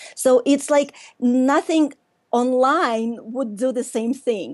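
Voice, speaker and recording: A woman's high-pitched voice in a Russian accent, very slow, against a quiet background. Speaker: workshop leader and business coach. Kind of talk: casual interview chat.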